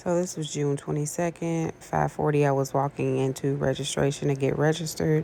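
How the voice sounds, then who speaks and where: Soft-spoken, a woman talks with a very deep, low pitch. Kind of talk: casual personal vlog.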